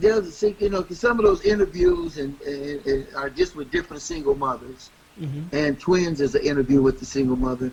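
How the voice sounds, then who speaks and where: Behind this man, background noise is noticeable. He speaks fairly quickly. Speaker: radio host. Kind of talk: interview answer.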